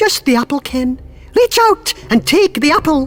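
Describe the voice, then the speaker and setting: A put-on character voice at a moderate pace. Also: woman, high pitch for a woman. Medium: read story. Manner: sweet and sly.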